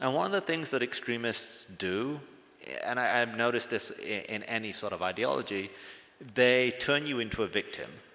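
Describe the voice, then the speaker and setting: Bright and sharp in tone, a man with an English accent speaks with ordinary pitch variation. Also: medium pitch for a man, moderate pace. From England, British Pakistani family. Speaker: former extremist sharing his story. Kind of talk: testimony.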